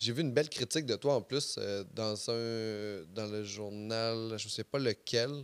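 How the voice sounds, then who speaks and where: Here a man speaks at a very slow pace. His medium pitch shows ordinary variation. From Quebec, Saint-Basile. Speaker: podcast host, comedian. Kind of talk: casual chat. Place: studio. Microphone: studio mic.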